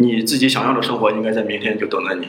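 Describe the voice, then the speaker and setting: A man speaks with audible room echo. Noticeable background noise sits behind him. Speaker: graduate student, student union president. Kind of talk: interview.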